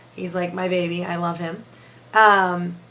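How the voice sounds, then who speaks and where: The tone is bright and sharp, with audible echo from the room. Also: woman. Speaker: paranormal investigator. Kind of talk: casual chat.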